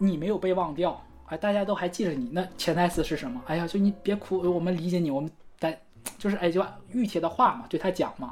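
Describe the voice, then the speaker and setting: A woman speaks at a fairly quick pace in an ordinary speaking voice. Her pitch is fairly low. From Northeast China. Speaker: podcast co-host. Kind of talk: casual chat about song lyrics.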